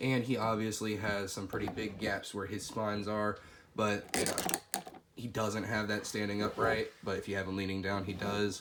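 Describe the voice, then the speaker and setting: Amid noticeable background noise and audible room echo, a man speaks at a moderate pace in a monotone, flat intonation. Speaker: toy figure reviewer. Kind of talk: product review. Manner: casual, conversational with fillers.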